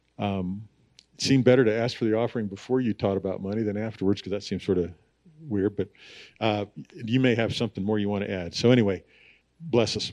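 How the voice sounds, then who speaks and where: A man with a fairly low pitch and fairly even intonation talks very fast, with long, frequent pauses. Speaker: pastor introducing speaker. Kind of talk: church announcements and introduction. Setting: church.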